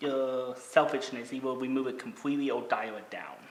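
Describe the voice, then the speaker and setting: Noticeable background noise runs under a speaker with an American accent talking at a moderate pace. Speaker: podcast host, YouTuber and voiceover artist. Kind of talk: casual chat.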